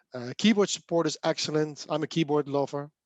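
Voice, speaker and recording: Speaking at a fairly quick pace, a man with a fairly high-pitched voice is heard dry and close with no echo over a quiet background. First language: Dutch. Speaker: software developer and speaker. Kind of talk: casual chat.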